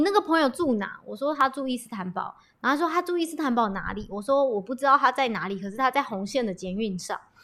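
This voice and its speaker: A woman's high voice at a fairly quick pace, with very wide pitch swings. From Taiwan. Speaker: podcast guest sharing a personal story. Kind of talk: casual chat.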